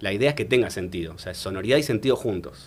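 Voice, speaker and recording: A man with a plain, everyday voice, lively intonation and a fairly quick pace. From Argentina. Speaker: singer-songwriter and writer. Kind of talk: interview answer.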